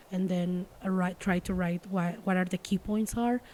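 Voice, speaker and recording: Her voice is a woman's at medium pitch. It sounds somewhat breathy, with a dark, mellow tone. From Mexico City area. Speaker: stand-up comedian. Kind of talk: casual podcast interview. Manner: fast and passionate when convinced.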